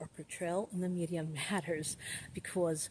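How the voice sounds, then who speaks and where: Using a normal speaking voice, a woman with an American accent and a fairly low pitch talks at a fairly quick pace. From Brooklyn, New York. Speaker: activist. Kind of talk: talk to camera, opinion commentary.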